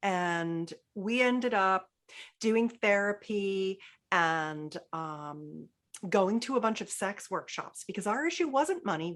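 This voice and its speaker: Against a quiet background, a woman with an ordinary speaking voice talks at a fairly slow pace, her medium pitch carried by lively intonation. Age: 60s. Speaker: intimacy expert. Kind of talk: podcast interview.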